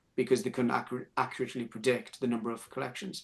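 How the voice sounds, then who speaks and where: A man's medium-pitched voice in a strong northern English accent, with ordinary pitch variation, over a quiet background. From northern England. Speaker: speaker presenting on clinic operations. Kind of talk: webinar panel discussion. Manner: halting, many repetitions and fillers.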